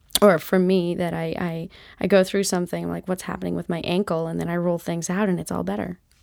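In a very clean recording with a silent background, a woman speaks with an American accent. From Utah. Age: 40s. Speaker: yoga teacher. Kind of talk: casual chat.

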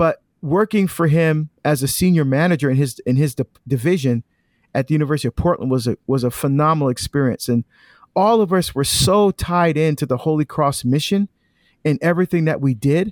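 Recorded very cleanly against a silent background with a dry, close sound and no echo, a man speaks in a plain, everyday voice at fairly high pitch, with very even loudness and ordinary pitch variation. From New Jersey, US (born in Barbados). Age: 50s. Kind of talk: interview.

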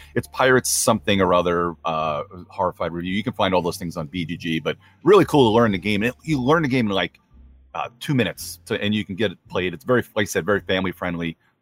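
Over music in the background, a man with fairly low pitch and lively intonation talks very fast, the sound dry and close with no echo. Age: middle-aged. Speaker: board game reviewer. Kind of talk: casual chat.

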